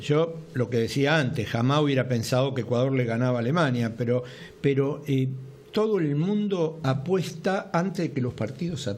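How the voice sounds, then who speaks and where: A somewhat breathy voice with an Argentine accent, lively intonation, very even loudness and a moderate pace, plus audible room echo. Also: man, fairly high pitch for a man. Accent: Argentine Spanish (Rioplatense). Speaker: TV sports talk show host. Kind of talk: casual sports talk show chat.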